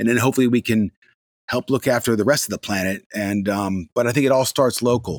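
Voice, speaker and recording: A man with an American accent at a fairly quick pace, ordinary pitch variation, and a dry, close sound with no echo. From US Mid-Atlantic. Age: 50s. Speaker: TV presenter and radio DJ. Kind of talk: interview. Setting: remote call. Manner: animated, high-energy.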